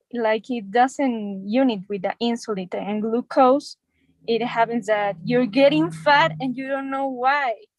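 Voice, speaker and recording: A woman speaks at a fairly slow pace with a fairly high pitch. Her ordinary pitch variation comes through a dry, close sound with no echo. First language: Spanish. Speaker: doctor in English class. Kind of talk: English practice conversation. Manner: halting.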